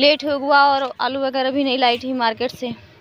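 A woman's voice comes through dry with no echo, over light background noise. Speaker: home vlogger. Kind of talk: casual vlog chat. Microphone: phone near.

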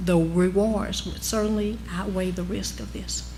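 A put-on character voice drawls in a Southern accent at a moderate pace. Noticeable background noise is present. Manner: drawn-out words, drawl.

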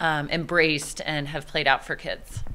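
Bright and sharp in tone, a woman speaks with an American accent. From Texas. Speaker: teacher. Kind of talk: interview. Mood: warm, upbeat. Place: classroom. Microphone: handheld.

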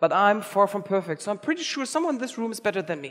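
A man's voice with very wide pitch swings over a quiet background. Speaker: conference organizer and keynote speaker. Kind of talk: keynote talk. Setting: stage with audience. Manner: fast talker. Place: hall. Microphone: headset.

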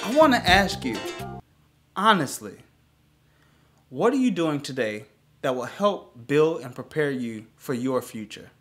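Faint music plays behind a man whose fairly high voice swings very widely in pitch and greatly in loudness, broken by long, frequent pauses. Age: 30s. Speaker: travel agent / vlogger. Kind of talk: casual talk to camera. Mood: earnest, hopeful. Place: home room.

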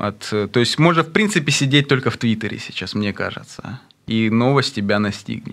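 This man talks at a medium pitch with lively intonation against a quiet background. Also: moderate pace. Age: 30s. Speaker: rapper; radio guest. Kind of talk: interview. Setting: studio. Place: studio. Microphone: studio mic.

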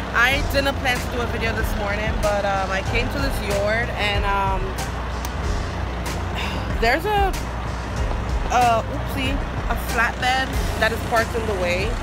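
Music plays in the background as a woman speaks at a fairly slow pace with long, frequent pauses, in a dry sound with no echo. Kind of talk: casual vlog chat. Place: street. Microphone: phone near.

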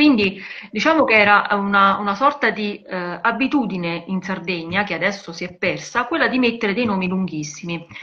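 Lively intonation from a woman at a moderate pace over a quiet background. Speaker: journalist; journalist co-host. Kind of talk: live video conversation about women in cinema and literature. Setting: video call live stream. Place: home room. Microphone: video call.

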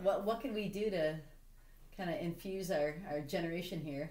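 With audible room echo, the voice has a dark, mellow tone and ordinary pitch variation. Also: woman. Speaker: interview host. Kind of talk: casual interview talk. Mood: warm, friendly. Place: home room.

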